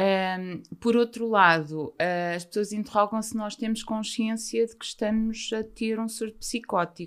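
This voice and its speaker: In a normal speaking voice, a woman of fairly high pitch speaks fairly slowly with fairly even intonation on a very clean recording with a silent background. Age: 50s. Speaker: mental health author. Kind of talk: interview testimony.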